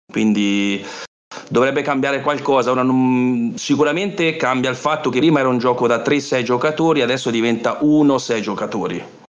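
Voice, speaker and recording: Ordinary pitch variation at a moderate pace, the room echo clearly audible. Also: man, medium pitch for a man. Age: 40s. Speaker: board gamer. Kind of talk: casual chat.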